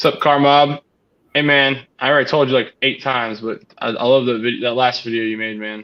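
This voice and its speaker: An ordinary speaking voice comes from a man at a medium pitch. He moves at a fairly quick pace with fairly even intonation. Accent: American. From Connecticut, then North Carolina. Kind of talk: casual livestream chat.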